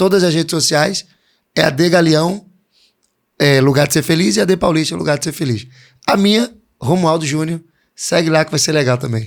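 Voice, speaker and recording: At a fairly high pitch with ordinary pitch variation, a man speaks at a moderate pace with long, frequent pauses. The recording is very clean with a silent background. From Pernambuco, Brazil. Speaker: pastor. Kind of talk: interview.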